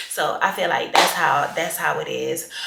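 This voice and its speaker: Amid audible room echo, a woman speaks in an animated tone. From Haiti, moved to US at 8. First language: Haitian Creole. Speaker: lifestyle vlogger. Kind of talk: casual chat.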